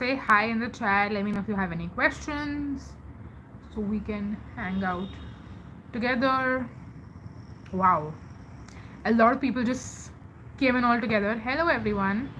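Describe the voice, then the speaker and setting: With an Indian accent, a woman speaks at a moderate pace and a fairly high pitch, using ordinary pitch variation and long, frequent pauses amid audible room echo. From India, Mumbai. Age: 20s. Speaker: live streamer. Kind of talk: casual chat. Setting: live stream.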